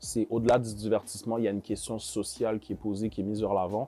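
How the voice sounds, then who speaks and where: A man with a Quebec accent speaks at a fairly quick pace. His voice is fairly low in pitch, with a dark, mellow tone. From Montreal, Quebec. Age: 20s. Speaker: rapper. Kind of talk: interview. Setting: studio. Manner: hesitant, many fillers.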